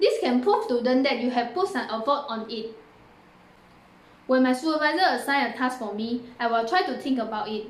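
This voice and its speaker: There is audible room echo as a woman speaks at a high pitch with lively intonation. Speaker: university student. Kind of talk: recorded presentation.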